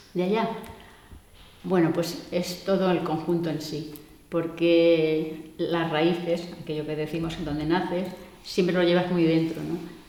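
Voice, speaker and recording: Fairly low-pitched, a woman speaks fairly slowly in a monotone, flat way. Room echo is audible and background noise is noticeable. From Andalusia (Córdoba province). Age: 60s. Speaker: migrant interviewee. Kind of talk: interview. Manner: hesitant, with many fillers.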